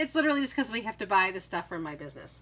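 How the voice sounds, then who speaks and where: A woman with a New England accent and very wide swings in pitch. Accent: Yankee. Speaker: craft YouTuber and online seller. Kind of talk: casual chat. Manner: hesitant, many fillers.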